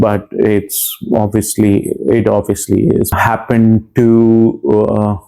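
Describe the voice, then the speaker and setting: A man talks with a fairly low pitch and a monotone, flat intonation. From India. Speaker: comedian and nurse. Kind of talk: interview testimony. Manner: halting, many fillers.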